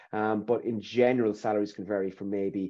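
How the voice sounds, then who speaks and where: A man with an Irish accent and a fairly low pitch, at a moderate pace with fairly even intonation, in a quiet background. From Ireland. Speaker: recruitment consultant. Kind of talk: webinar interview. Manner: hesitant, repetitive. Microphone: webcam.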